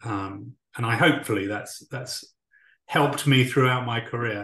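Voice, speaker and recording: A man with a British accent speaks at medium pitch and a moderate pace, his pitch varying in an ordinary way. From UK. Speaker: talent acquisition leader. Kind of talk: interview.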